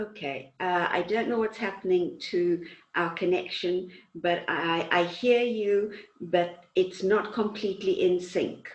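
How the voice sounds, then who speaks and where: A woman with a Zulu accent speaks at a medium pitch. Her pace is fairly slow. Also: fairly even intonation. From South Africa, Zulu-speaking countryside. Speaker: talk show host. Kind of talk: interview. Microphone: connection out of sync.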